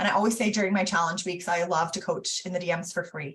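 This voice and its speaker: A woman with a medium-pitched, somewhat breathy voice speaks at a very fast pace and with fairly even intonation. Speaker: business coach. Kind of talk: online teaching session.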